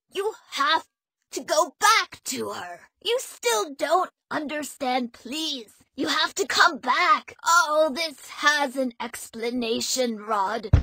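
Using a put-on character voice, a woman speaks slowly at a high pitch with a bright, sharp tone and lively intonation.

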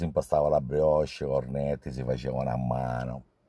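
The tone is dark and mellow. The sound is dry with no echo, and the background is quiet. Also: man. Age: 60s. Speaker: pastry chef. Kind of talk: testimonial. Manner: halting. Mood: warm, appreciative. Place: car. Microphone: phone near.

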